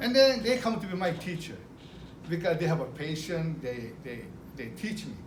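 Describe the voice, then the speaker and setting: With a Japanese accent and a high pitch, a man speaks at a moderate pace with lively intonation, while audible room echo and noticeable background noise fill the recording. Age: 60s. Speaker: retired business owner. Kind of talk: speech to an audience. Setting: car dealership event. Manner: halting.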